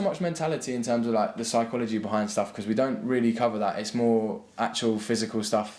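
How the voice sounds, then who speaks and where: In an English accent, a man speaks at a medium pitch. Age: 20s. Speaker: footballer and university student. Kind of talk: interview. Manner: halting, many repeated words.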